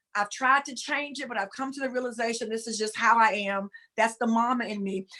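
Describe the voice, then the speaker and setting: With a Southern US accent, a woman talks at a fairly quick pace and a fairly high pitch. Her intonation is fairly even. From US South, rural. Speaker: spiritual talk show co-host. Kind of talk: casual spiritual discussion on a livestream. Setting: live video stream. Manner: sounds fussy, scolding.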